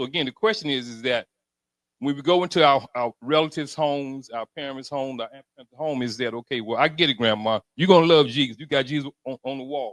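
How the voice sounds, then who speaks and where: This man has a plain, everyday voice with an American accent, pitched fairly high for a man. He talks fairly quickly with ordinary pitch variation. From Alabama, US South. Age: 60s. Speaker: audience member asking a question. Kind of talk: audience question at public forum.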